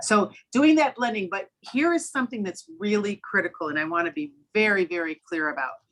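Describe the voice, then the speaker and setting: The voice moves at a fairly quick pace. Its pitch swings very widely. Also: woman. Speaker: literacy educator and trainer. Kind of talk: webinar presentation. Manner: fast.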